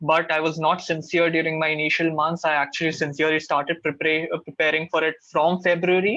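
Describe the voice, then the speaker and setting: In an Indian accent, a man speaks at a fairly high pitch with a bright, sharp tone and monotone, flat intonation. His loudness is very even, he takes hardly any pauses, and the background is quiet. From India, Karnataka family, raised in Maharashtra. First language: Kannada. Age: 20s. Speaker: MBA student mentor. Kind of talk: webinar Q&A.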